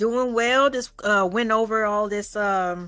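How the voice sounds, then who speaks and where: On a very clean recording with a silent background, a woman speaks in a bright, sharp tone at a fairly high pitch. She talks at a fairly slow pace with fairly even intonation. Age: 40s. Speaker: streamer, channel host. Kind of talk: casual chat. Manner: calm.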